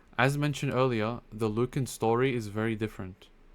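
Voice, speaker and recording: The intonation stays fairly even. It's a man's voice at a medium pitch. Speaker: online presenter giving religious history talk. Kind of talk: lecture. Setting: live online stream with screen share. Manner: fast.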